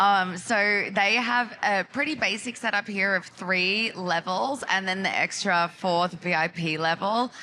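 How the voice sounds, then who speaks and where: With an Australian accent, a woman speaks at a medium pitch and a fairly slow pace. Her tone is bright and sharp, with ordinary pitch variation and very even loudness. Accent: thick Australian. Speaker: marketing executive. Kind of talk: conference panel talk. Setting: live stage at trade event.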